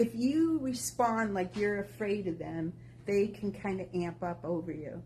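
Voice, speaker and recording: At a fairly slow pace, this is an ordinary speaking voice with lively intonation. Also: woman, medium pitch for a woman. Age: 60s. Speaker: walking group member. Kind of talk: casual group talk.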